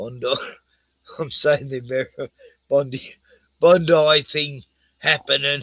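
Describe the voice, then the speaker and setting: With an Australian accent, a man speaks at a very slow pace. His pitch is fairly high. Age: 60s. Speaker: live streamer. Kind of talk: casual chat. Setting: live stream.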